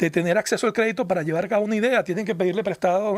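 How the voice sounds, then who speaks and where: Here is a man with a Venezuelan accent. His pitch varies in an ordinary way. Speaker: foundation research director. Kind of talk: radio interview. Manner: halting, repeats words.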